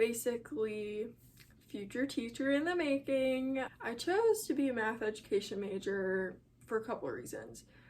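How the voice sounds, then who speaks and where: A woman with an American accent, fairly high pitch, ordinary pitch variation and a moderate pace. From Chicago area. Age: young. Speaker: college student. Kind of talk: casual talk to camera.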